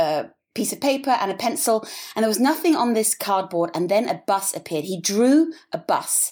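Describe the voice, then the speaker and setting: A woman's fairly high voice with an English accent, lively intonation and a moderate pace. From England. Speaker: business founder and designer. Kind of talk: interview.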